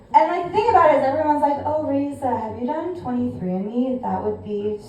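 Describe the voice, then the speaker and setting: A woman with a high pitch talks with hardly any pauses, very wide pitch swings and big swings in loudness, with noticeable background noise. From California. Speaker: stand-up comedian. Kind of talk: stand-up. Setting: stage with audience.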